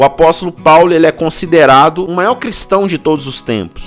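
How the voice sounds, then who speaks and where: Against music in the background, a man speaks at a moderate pace with a high pitch and ordinary pitch variation. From Belo Horizonte, Minas Gerais, Brazil. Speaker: pastor. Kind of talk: sermon talk to camera. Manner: casual, informal.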